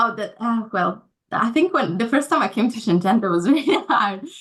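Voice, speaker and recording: A woman speaks at a moderate pace in a fairly high voice, her pitch swinging very widely. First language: not English or Chinese. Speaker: recent graduate, corporate trainee. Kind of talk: casual interview. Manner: halting.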